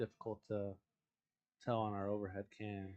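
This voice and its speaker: A soft-spoken man at a moderate pace. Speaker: billiards commentator. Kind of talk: live commentary.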